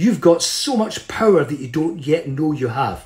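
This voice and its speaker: At a moderate pace, a man speaks with an animated tone. His pitch swings very widely. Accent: Scottish. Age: 70s. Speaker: motivational speaker. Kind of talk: motivational talk. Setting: video call.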